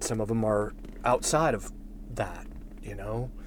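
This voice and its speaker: This clip features a man talking. His voice carries audible room echo. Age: 50s. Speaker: podcast host. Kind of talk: reflective solo monologue. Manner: halting.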